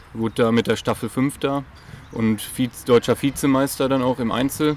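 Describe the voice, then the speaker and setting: A man's medium-pitched voice in a monotone, flat intonation, with noticeable background noise. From Germany, Münsterland (Dülmen area). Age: 30s. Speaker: athletics coach. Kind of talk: interview. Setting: at a sports club.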